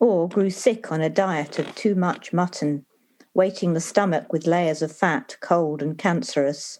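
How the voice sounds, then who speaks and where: A woman with a normal speaking voice talks fairly slowly at a medium pitch with ordinary pitch variation, in a very clean recording with a silent background. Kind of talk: poetry reading.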